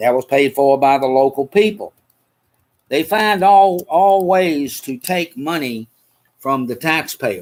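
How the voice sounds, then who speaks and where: A man with a Southern US accent and lively intonation, in a dry, close sound with no echo. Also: fairly high pitch for a man, fairly slow pace. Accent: Southern US (Georgia). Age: 70s. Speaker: podcast host. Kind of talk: casual chat. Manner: animated.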